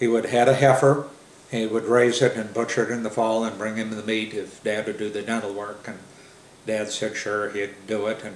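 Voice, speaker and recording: A man's fairly low, monotone, flat delivery at a moderate pace, with an American accent and audible room echo. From US Midwest. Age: 70s. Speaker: family elder telling oral history. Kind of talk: oral history interview. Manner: halting, many fillers.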